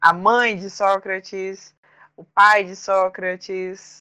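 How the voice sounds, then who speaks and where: A woman's bright, sharp voice. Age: 20s. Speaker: beautician acting as student. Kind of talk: casual conversation.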